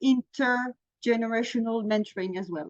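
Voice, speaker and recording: With a French accent, a woman speaks at a moderate pace and a fairly high pitch, using ordinary pitch variation in a dry, close sound with no echo. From France. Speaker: mentoring program manager. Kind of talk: webinar presentation.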